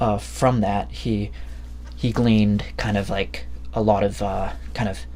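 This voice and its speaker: A man speaks at a fairly slow pace in a very deep, low pitch with a dark, mellow tone and vocal fry. His pitch swings very widely, and audible room echo surrounds him. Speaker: book reviewer. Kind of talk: casual monologue review. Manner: halting, many fillers.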